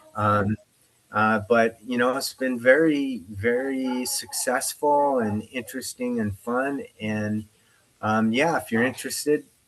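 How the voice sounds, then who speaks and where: This man talks at a fairly slow pace with a General American accent and a medium pitch. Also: fairly even intonation. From US Northwest (Spokane, Washington). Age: 60s. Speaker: UFO investigator. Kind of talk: interview. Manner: halting.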